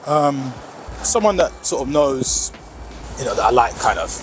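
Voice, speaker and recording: A man's fairly slow speech over noticeable background noise. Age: 60s. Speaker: interviewee. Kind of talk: interview.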